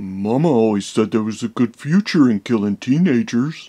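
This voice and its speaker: In a cartoonish character voice, a man talks at a moderate pace with medium pitch and lively intonation, the sound dry and close with no echo against a quiet background. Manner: slow, dim, friendly.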